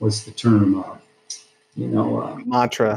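A man speaks at a moderate pace. His voice is somewhat breathy with a dark, mellow tone. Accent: American. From Iowa, US Midwest. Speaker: high school football coach. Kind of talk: casual interview.

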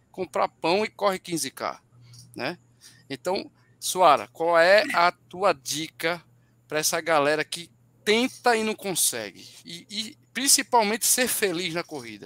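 A man with a high-pitched, bright, sharp voice speaks at a fairly slow pace with lively intonation and big swings in loudness, captured dry and close with no echo on a very clean recording with a silent background. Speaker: running podcast co-host. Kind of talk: casual chat.

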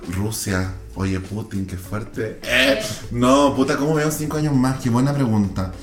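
Through noticeable background noise and audible room echo, a man with an animated tone talks at a moderate pace in a medium pitch with ordinary pitch variation. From Chile, San Antonio coast. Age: 20s. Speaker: TikToker. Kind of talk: casual chat.

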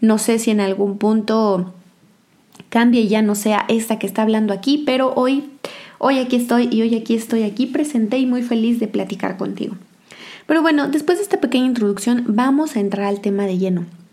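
The speaker goes at a fairly quick pace with ordinary pitch variation, and there is noticeable background noise. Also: woman, fairly high pitch for a woman. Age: 20s. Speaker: podcast host. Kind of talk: monologue podcast.

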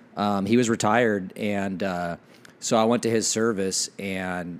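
A man with a fairly low pitch talks at a fairly slow pace in a normal speaking voice, keeping his intonation fairly even. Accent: American. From Washington State (Ephrata). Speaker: fire captain. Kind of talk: casual chat. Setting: friend's living room.

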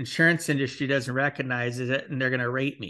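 A man talks with a bright, sharp tone. The background is quiet. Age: 50s. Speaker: podcast host and financial planner. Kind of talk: interview podcast.

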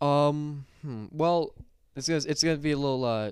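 Using an unremarkable speaking voice, a man talks fairly slowly at a fairly high pitch with fairly even intonation. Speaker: podcast guest. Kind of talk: casual chat.

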